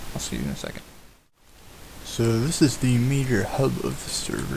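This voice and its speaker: Quietly and at a moderate pace, a man speaks over noticeable background noise. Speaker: gamer. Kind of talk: casual game tour narration.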